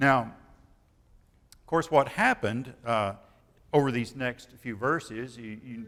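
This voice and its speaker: On a very clean recording with a silent background, a man speaks with a Midwestern US accent. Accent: rural Midwestern American. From Kansas. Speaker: retired preacher. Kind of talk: sermon.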